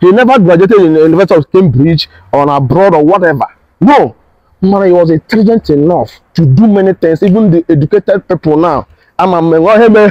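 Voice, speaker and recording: A man's lively intonation comes through a dry sound with no echo against a quiet background. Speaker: tour guide vlogger. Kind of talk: casual vlog chat. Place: garden. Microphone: lapel.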